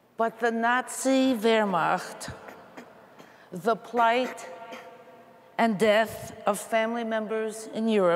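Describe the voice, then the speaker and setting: With an American accent, a woman speaks at a very slow pace with long, frequent pauses, fairly even intonation and very even loudness, against light background noise. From US Northeast (Queens, New York); New York. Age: 80s+. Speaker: panelist at religious assembly; panelist. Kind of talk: personal testimony. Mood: earnest, reflective. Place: hall.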